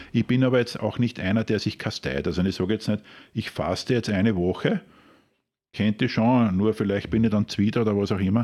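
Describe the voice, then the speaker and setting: In a Lower Austrian accent, a man talks at a fairly quick pace with a fairly low pitch, a dark, mellow tone, ordinary pitch variation and very even loudness against a quiet background. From Austria, Krems (Wachau, Lower Austria). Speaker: master barista. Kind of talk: interview.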